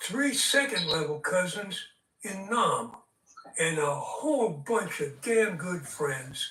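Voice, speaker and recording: In a raised, projected voice with audible room echo, the speaker goes at a very slow pace with very wide pitch swings. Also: man. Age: 80s+. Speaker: debate guest. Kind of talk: heated debate. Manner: angry, insulting rant.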